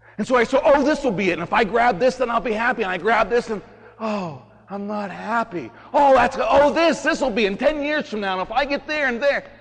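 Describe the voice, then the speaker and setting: Amid noticeable background noise, a man with an extremely high pitch speaks at a moderate pace in an animated tone with lively intonation. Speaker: priest. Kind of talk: homily at Mass. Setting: church. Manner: informal.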